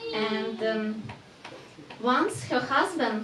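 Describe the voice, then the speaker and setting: Music plays in the background and the room echo is audible. The speech moves at a very slow pace. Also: woman. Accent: non-native. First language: not English. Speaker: workshop presenter. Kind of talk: talk to temple audience. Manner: halting.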